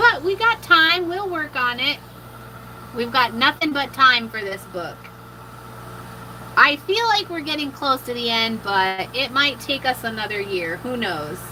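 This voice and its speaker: A woman's raised, projected voice at a high pitch, with very wide pitch swings, a fairly slow pace and long, frequent pauses, over noticeable background noise. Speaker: mixed media artist. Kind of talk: live art tutorial. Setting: livestream.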